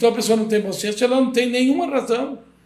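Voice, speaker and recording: Ordinary pitch variation comes through with audible room echo around the voice. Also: man. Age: 70s. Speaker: construction company owner. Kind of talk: podcast interview.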